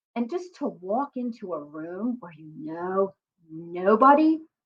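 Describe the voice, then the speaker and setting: A woman with a Philadelphia accent speaks at a medium pitch and a fairly slow pace, her intonation lively. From US, Philadelphia. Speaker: career coach and psychotherapist. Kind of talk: motivational talk to camera.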